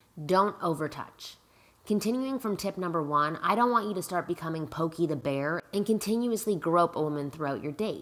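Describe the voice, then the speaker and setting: This woman has an ordinary speaking voice, pitched fairly low. Her intonation is lively and her pace fairly quick. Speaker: dating advice coach. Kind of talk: advice vlog.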